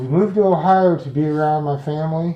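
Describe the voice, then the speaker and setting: A man mumbles at a moderate pace in a somewhat breathy, dark and mellow tone with ordinary pitch variation. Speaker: client in intake interview. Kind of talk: intake interview. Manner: mumbling, slurred words.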